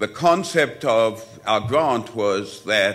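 The man's voice comes across with a bright, sharp tone. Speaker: conference presenter. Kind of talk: lecture. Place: hall. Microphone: podium.

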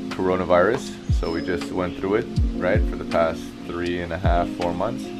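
A man talks at a moderate pace while loud music sounds in the background. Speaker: fitness vlogger. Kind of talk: casual vlog chat. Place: garden. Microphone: phone near.

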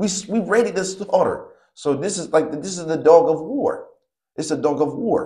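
The delivery is animated, with ordinary pitch variation. The background is quiet. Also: man, high pitch for a man, moderate pace. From East Cleveland, Ohio; Ohio. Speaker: dog breeder and breed advocate; guest. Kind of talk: casual interview; interview answer. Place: home room. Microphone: lapel.

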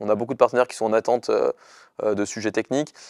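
A man's voice against a quiet background, with a dry sound and no echo. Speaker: startup founder. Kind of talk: interview. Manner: fast. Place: studio. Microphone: lapel.

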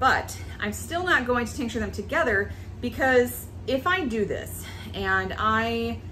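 A woman talks at a fairly slow pace. Light background noise sits behind her. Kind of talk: tutorial. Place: kitchen.

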